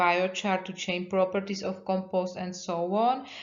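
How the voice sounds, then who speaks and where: Audible room echo surrounds a woman's voice. She speaks in a flat monotone with a non-native accent. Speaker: university researcher. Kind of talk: lecture. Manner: halting.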